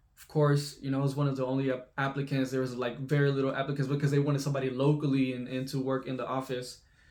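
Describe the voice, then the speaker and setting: With an American accent, the speaker rushes at a very fast pace with hardly any pauses and big swings in loudness, over noticeable background noise. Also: man, medium pitch for a man. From Texas (Lufkin, East Texas). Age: 20s. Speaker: YouTuber, remote web developer. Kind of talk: casual vlog storytelling. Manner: casual with many fillers and restarts.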